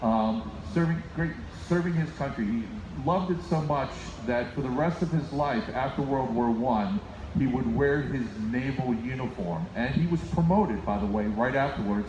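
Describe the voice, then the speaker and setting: Against noticeable background noise and audible room echo, a man speaks at a moderate pace and medium pitch with lively intonation. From United States (born in Finland, moved as small child). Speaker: band leader. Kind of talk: concert stage announcement. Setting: live concert with audience.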